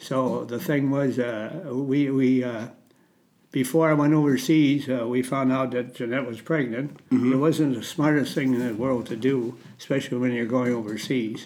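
A man with an Upper Midwest accent speaks with fairly even intonation in a room with audible echo. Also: medium pitch for a man, moderate pace. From Minnesota. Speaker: war veteran. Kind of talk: testimony. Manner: halting.

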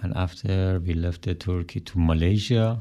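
A man speaks with a Persian accent. His pitch is very deep and low, and his tone is dark and mellow. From Iran. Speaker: musician, band drummer. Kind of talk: radio interview. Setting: radio studio. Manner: halting.

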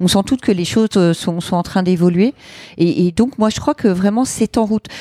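A woman speaks in a dark, mellow tone at a moderate pace with ordinary pitch variation. The sound is dry and close, with no echo. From France, various regions; Lyon since teens. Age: 40s. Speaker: entrepreneur and gender equality advocate. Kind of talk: casual interview. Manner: hesitant, many fillers.

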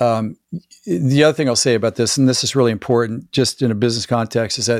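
Using a normal speaking voice, a man talks at a fairly quick pace with medium pitch and fairly even intonation. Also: dry, close sound with no echo. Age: 60s. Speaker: performance coach and former chiropractor. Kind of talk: casual interview conversation.

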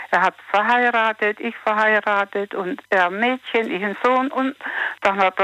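A fairly high-pitched woman's voice, bright and sharp in tone, with ordinary pitch variation, a fairly slow pace and a dry, close sound with no echo. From Sudetenland, later resettled to Germany. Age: 50s. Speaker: caller. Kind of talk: phone call-in chat.

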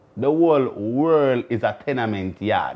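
A man's voice with a Jamaican accent and very wide pitch swings. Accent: Jamaican Patois-inflected English. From Jamaica, Kingston. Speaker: podcast host. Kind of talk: casual solo talk to camera.

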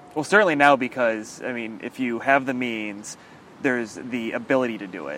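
A man talks at a medium pitch, his loudness swinging widely. Noticeable background noise runs behind him. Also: ordinary pitch variation, moderate pace. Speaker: podcast host. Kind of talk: casual chat. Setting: outdoors.

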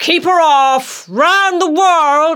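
Using a put-on character voice, a man speaks very slowly in an extremely high pitch with a bright, sharp tone.

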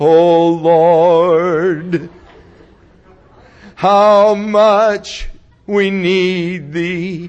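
A put-on character voice at a middle pitch. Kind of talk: archaic prayer language. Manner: sustained, reverent, spiritual.

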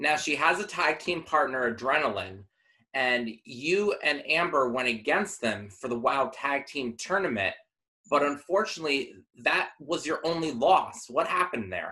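Lively intonation and a bright, sharp tone at a moderate pace. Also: man, fairly high pitch for a man. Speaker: interviewer. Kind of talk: casual interview.

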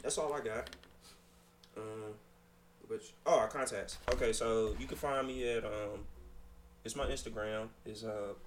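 Over noticeable background noise and audible room echo, a man talks at a fairly slow pace with long, frequent pauses. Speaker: podcast co-host. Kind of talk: casual chat.

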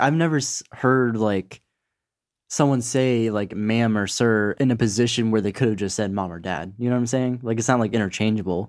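A man at medium pitch talks at a fairly quick pace with ordinary pitch variation in a normal speaking voice, on a very clean recording with a silent background. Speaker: podcast co-host. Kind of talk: casual banter.

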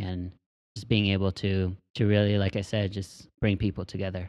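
With an unremarkable speaking voice, a man keeps a moderate pace and a fairly low pitch. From Texas. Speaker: podcast host. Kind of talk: casual chat.

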